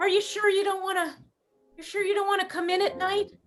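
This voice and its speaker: A female-sounding put-on character voice, warm in tone and extremely high in pitch, rattles along at a very fast pace in monotone, flat intonation. Faint music plays in the background. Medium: stage play. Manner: warm, caring.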